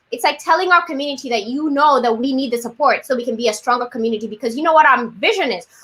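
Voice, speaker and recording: A woman speaks at a very fast pace in a raised, projected voice. Her high voice has a bright, sharp tone and lively intonation. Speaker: city training program host. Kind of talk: live webinar hosting. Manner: animated.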